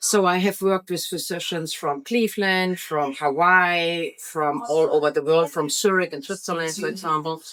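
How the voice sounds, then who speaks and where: A woman with a German accent talks at a moderate pace in a fairly low voice, with fairly even intonation and hardly any pauses. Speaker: real estate agent. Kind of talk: interview. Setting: on location at an event.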